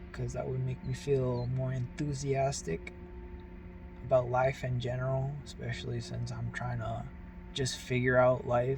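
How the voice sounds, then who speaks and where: A man's very deep, low voice with very wide pitch swings, audible room echo and noticeable background noise. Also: fairly slow pace. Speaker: vlogger. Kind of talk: casual monologue. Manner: halting, stumbling over words.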